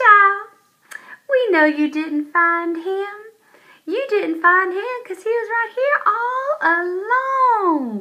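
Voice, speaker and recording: In a put-on character voice with a Southern accent, a woman squeaks at an extremely high pitch with very wide pitch swings, speaking at a very slow pace. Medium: read story. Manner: folksy, warm, unhurried.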